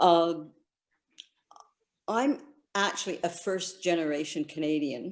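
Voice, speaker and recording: A woman speaks fairly slowly in a normal speaking voice with a fairly low pitch. Her intonation is lively. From Canada (Guelph, Ontario), born in China. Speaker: author. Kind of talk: conversation at online book launch.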